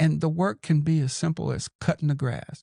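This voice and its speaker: In an American accent, a man talks with a dark, mellow tone that is somewhat breathy, heard as a dry, close sound with no echo. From Los Angeles, California. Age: 60s. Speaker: podcaster and mentor. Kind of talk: interview.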